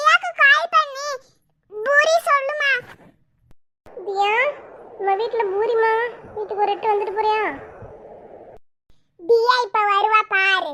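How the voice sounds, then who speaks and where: Using a cartoonish character voice at an extremely high pitch, a woman speaks very slowly with lively intonation. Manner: sharp, grumbling.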